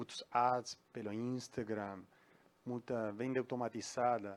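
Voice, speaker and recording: Very slowly, a man speaks at a medium pitch with a Uruguayan accent. The recording is very clean, with a silent background. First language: Spanish (speaking Portuguese). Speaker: audience member asking a question. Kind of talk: audience Q&A question. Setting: event hall with audience. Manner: halting.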